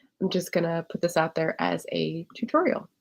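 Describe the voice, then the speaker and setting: A woman speaks quietly in a fairly low pitch. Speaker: livestream tech tutor. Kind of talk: livestream tutorial. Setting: livestream. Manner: quiet, holding back voice.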